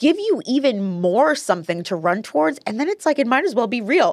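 A woman with an American accent speaks in an animated tone at a high pitch. Her pitch swings very widely. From New Jersey (Paterson). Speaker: podcast host, real estate investor. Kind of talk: casual chat.

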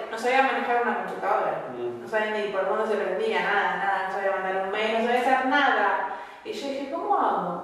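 Fairly high-pitched, a woman talks with hardly any pauses, with audible room echo and noticeable background noise around her. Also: ordinary pitch variation, fairly quick pace. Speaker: medical secretary student. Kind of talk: class discussion. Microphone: poor audio quality.

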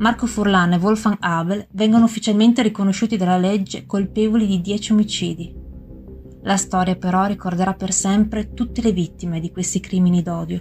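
A woman speaks at medium pitch and a fairly quick pace, with fairly even intonation. Her tone is dramatic, and music plays in the background. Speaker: true-crime podcast narrator. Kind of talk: true-crime narration. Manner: grave, measured, formal; steady, dramatic, matter-of-fact.

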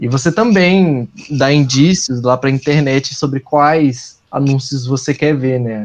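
This man speaks with a fairly high pitch. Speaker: advertising professional. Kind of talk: casual podcast chat.

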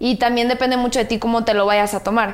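The voice is a woman's, fairly high in pitch. Her intonation is monotone and flat. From Guadalajara, Mexico. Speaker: social media influencer. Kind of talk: casual chat.

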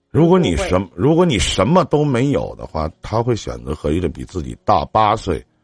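A man with a fairly low pitch and vocal fry speaks at a moderate pace with very wide pitch swings and hardly any pauses, the sound dry and close with no echo. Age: 40s. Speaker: radio call-in advice host. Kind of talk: call-in advice chat.

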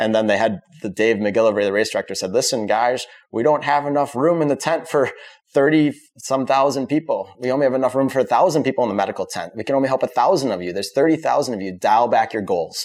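Talking very fast in an American accent, a man uses a medium pitch and ordinary pitch variation on a very clean recording with a silent background. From US Midwest (Wisconsin, suburbs near Madison). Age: 40s. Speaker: botanist and running coach. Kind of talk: interview conversation. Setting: studio.

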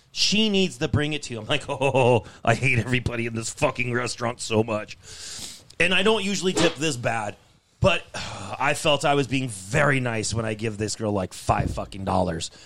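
Here is a man with a plain, everyday voice. His pitch is medium and his intonation lively. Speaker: podcast co-host. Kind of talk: angry rant about bad restaurant service, cursing. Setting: studio, several people around a table. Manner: loud, irate, profane, venting and fast-paced.

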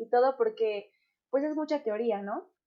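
A woman's fairly high voice, an ordinary speaking voice, moving at a moderate pace with ordinary pitch variation. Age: 20s. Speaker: podcast host. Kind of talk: casual chat.

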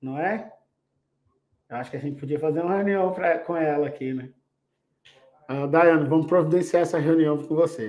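A man's fairly high-pitched voice at a moderate pace, with ordinary pitch variation and long, frequent pauses. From Belo Horizonte, Brazil. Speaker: podcast host, industrial cybersecurity consultant. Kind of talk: casual chat. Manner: animated.

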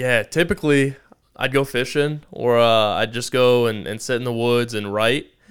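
A man's ordinary speaking voice at medium pitch, with fairly even intonation and a moderate pace. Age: 20s. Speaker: entrepreneur. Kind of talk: interview. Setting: studio.

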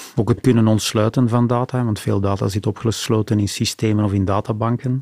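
In a dry, close recording with no echo, a man with a fairly low pitch and a dark, mellow tone talks at a moderate pace with ordinary pitch variation. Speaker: port authority digital executive. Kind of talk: interview conversation. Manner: animated.

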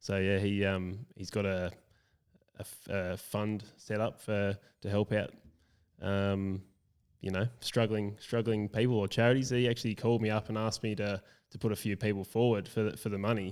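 With an Australian accent, a man speaks in a fairly low, flat monotone at a moderate pace. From rural South Australia. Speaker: founder of a men's support group. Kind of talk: casual chat. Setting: recorded at the guest's home with mobile kit.

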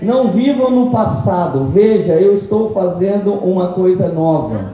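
A man talks very slowly with ordinary pitch variation. Noticeable background noise and audible room echo fill the recording. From São Paulo state, Brazil (Tremembé). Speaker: pastor. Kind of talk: sermon. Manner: animated.

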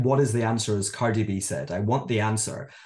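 A man speaks in a Scottish accent. He sounds somewhat breathy and moves at a fairly quick pace. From Scotland. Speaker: author and educator. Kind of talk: interview about his book.

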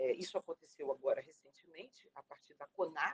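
Speaking at a moderate pace, a woman has a medium pitch and ordinary pitch variation, with a dry, close sound and no echo. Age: 50s. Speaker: retired teacher and education activist. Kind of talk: interview. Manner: halting.

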